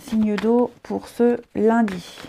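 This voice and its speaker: A woman speaks quietly. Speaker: tarot reader. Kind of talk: tarot horoscope reading.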